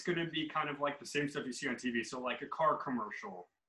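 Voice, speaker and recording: A man talks fairly quickly with ordinary pitch variation, noticeable noise audible behind him. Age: 30s. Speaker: podcast host. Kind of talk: casual chat.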